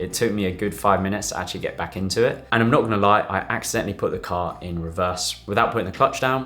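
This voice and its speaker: Music plays in the background as a man speaks very fast with a fairly low pitch and ordinary pitch variation. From UK. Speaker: doctor. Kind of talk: casual talk to camera.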